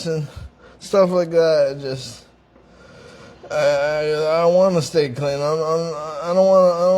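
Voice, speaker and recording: Over noticeable background noise, a man with a fairly high voice speaks at a fairly slow pace with fairly even intonation. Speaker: interviewee in recovery from addiction. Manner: stutters, repeats words and restarts phrases; pauses and slows down to speak clearly.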